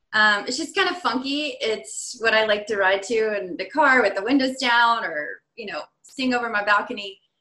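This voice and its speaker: Bright, sharp tone from a woman with an American accent, fairly high-pitched, at a moderate pace with hardly any pauses. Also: lively intonation. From Virginia, US. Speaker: perfusionist. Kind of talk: casual interview.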